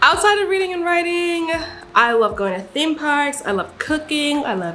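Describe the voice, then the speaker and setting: Speaking at a moderate pace in an American accent, a woman sounds animated, her pitch swinging very widely, with audible room echo and noticeable background noise. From Nigeria. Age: 20s. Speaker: aspiring author and vlogger. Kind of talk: casual chat.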